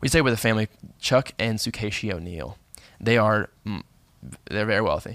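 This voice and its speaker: Set against a silent background on a very clean recording, a man with a fairly low pitch and ordinary pitch variation talks at a fairly quick pace with long, frequent pauses. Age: 20s. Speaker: podcast guest, host's younger cousin. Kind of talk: casual chat. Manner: halting, restarts sentences.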